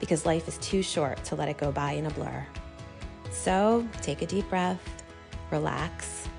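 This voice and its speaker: The speech moves at a moderate pace with very wide pitch swings and long, frequent pauses. Music plays in the background. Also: woman. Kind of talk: podcast intro.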